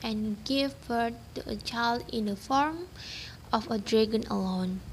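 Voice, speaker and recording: A woman talks at a fairly slow pace. She has an ordinary speaking voice with ordinary pitch variation. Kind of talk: folktale narration. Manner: storytelling cadence, measured and even.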